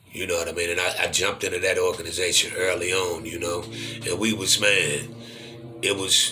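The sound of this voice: The voice has a bright, sharp tone and moves little in pitch. It keeps a moderate pace over faint background noise. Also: man.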